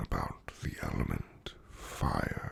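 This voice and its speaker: Amid noticeable background noise, a man whispers. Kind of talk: ASMR roleplay talk to the listener. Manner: whispered.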